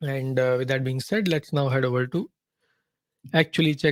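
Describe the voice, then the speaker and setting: The recording of this medium-pitched man has a dry, close sound with no echo. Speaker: trading analyst, webinar host. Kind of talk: live trading webinar. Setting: live online webinar. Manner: fast.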